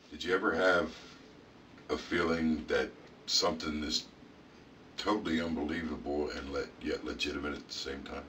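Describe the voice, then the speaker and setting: Putting on a raspy character voice at a very deep, low pitch, a man speaks at a moderate pace with long, frequent pauses over clear background noise. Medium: audio drama. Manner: halting, conversational.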